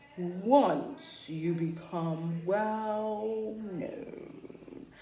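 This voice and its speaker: A woman puts on a character voice at a medium pitch, her intonation lively. Background noise is clearly audible. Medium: read story. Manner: solemn, oracular.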